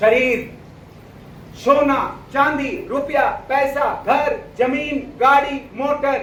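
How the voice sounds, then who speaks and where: Audible room echo surrounds a man whose pitch is extremely high. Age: 60s. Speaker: motivational business speaker. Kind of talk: seminar speech.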